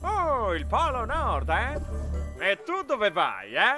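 Over faint music in the background, a man puts on a character voice that is high in pitch with a bright, sharp tone, very wide pitch swings and a very slow pace.

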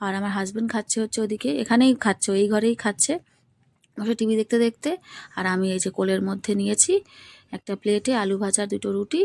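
The recording is very clean, with a silent background and a dry, close sound with no echo. A woman speaks with a fairly high pitch, ordinary pitch variation and a dark, mellow tone. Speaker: lifestyle vlogger. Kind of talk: casual vlog narration.

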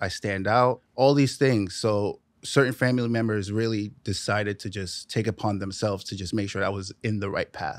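Fairly quick speech with a New York accent keeps a fairly even intonation in a dry sound with no echo. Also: man, fairly low pitch for a man, quiet background. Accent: New York (Bronx). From New York, the Bronx. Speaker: drummer; podcast guest. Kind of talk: casual interview chat. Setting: studio. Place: studio.

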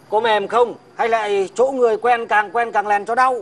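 Speaking at a fairly slow pace, a man uses an extremely high pitch with monotone, flat intonation. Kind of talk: scripted comic dialogue. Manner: pained, wincing speech, aching jaw. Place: street. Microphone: lapel.

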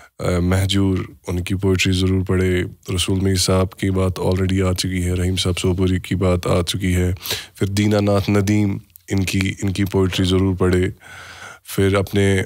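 Very slowly and in a monotone, flat intonation, a man speaks at a very deep, low pitch with very even loudness. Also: quiet background. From Kashmir. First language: Kashmiri (speaking Hindi). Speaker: podcast host. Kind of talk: casual chat. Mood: calm, reflective. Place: studio. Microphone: studio mic.

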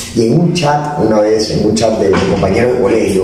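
Through strong room echo and light background noise, a man speaks at a moderate pace with ordinary pitch variation. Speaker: podcast guest. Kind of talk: interview answer. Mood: relaxed, joking storytelling. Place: studio.

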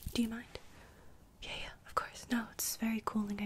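The speaker whispering here is a woman. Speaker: skincare roleplay host. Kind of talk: soft-spoken roleplay talk. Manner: soft-spoken ASMR chatter. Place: home room. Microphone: studio mic.

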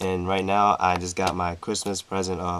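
A man's very deep, low voice in a monotone, flat delivery at a moderate pace, with noticeable background noise. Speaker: card game youtuber. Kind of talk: unboxing commentary. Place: home room. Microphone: webcam.

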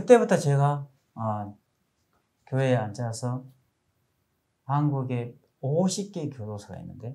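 Somewhat breathy and dark, mellow in tone, a man speaks at a very slow pace with long, frequent pauses. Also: medium pitch for a man, lively intonation. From South Korea. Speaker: preacher. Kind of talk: sermon. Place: studio. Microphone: lapel.

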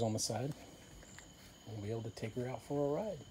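The speech runs at a very fast pace with fairly even intonation. Light background noise can be heard. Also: man. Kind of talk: casual vlog chat. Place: garden. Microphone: phone near.

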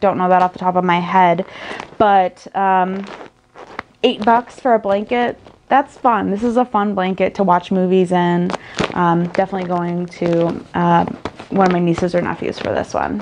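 A woman at a moderate pace with long, frequent pauses and fairly even intonation, over noticeable background noise. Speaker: haul vlogger. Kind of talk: casual vlog chat. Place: home room. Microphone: phone near.

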